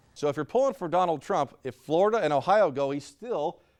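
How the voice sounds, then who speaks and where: In a very clean recording with a silent background, a man speaks at a fairly quick pace. He has a plain, everyday voice, fairly high in pitch, with lively intonation. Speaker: TV news anchor and reporter. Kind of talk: TV news anchor read.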